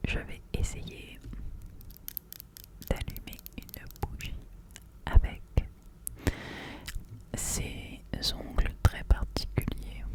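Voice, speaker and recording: Whispering at a very slow pace, the speaker leaves long, frequent pauses while noticeable background noise runs underneath. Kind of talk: ASMR chat to camera. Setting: studio microphone at home. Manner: whispered.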